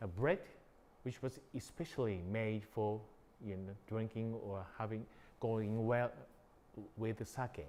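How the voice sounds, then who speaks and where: A man's medium-pitched, dark, mellow voice at a fairly slow pace, with ordinary pitch variation and long, frequent pauses. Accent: Japanese. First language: Japanese. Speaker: sake brewery owner. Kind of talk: guided tour. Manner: halting.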